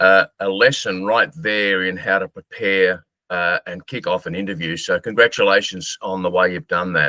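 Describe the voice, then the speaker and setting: A man with an Australian accent at a moderate pace, hardly any pauses, and a dry, close sound with no echo. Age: 60s. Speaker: marketer and author. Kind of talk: interview.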